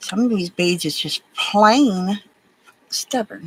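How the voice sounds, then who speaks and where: A woman's fairly high voice with ordinary pitch variation and an American accent. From Alabama, US South. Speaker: crafting livestreamer. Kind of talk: casual livestream chat while beading.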